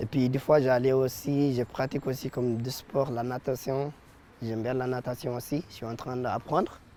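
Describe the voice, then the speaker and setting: Here a man speaks in a dark, mellow tone at a medium pitch. His intonation is monotone and flat, and his pace is moderate. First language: not French (speaking French). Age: 20s. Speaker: apprentice, former unaccompanied minor refugee. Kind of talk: interview. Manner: halting, many hesitations.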